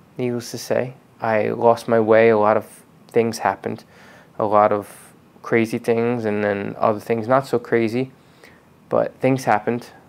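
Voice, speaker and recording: A man speaks in a flat monotone, with long pauses coming often. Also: moderate pace. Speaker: car detailing channel host. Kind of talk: personal vlog talk. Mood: reflective, calm, personal.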